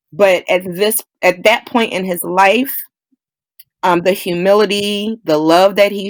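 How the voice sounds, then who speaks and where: On a very clean recording with a silent background, a woman with an American accent speaks at a fairly slow pace, her medium pitch carrying fairly even intonation. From Philadelphia. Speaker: actress, choreographer, director. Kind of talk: interview answer.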